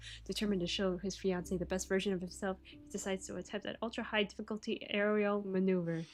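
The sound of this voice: What you hear is an unforced reading voice.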